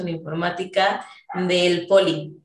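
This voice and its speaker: A woman with a central Mexican accent speaks at a medium pitch, with audible room echo. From Mexico City, later Querétaro. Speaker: software engineer. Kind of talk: casual interview chat.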